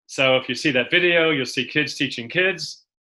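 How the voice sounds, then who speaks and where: A man with a Boston accent at a moderate pace. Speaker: education speaker. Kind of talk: webinar presentation.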